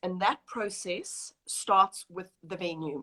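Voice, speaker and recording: A woman with a South African accent has a bright, sharp tone, recorded with a dry, close sound and no echo. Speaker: wedding planner. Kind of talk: interview.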